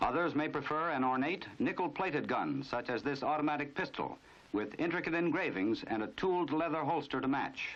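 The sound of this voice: The delivery moves at a moderate pace, with lively intonation and a fairly bright tone. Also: man.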